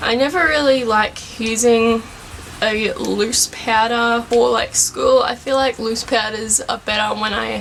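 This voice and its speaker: A woman's fairly high voice at a fairly slow pace, fairly even in intonation, with noticeable background noise. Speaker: beauty vlogger. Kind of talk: tutorial. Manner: loud.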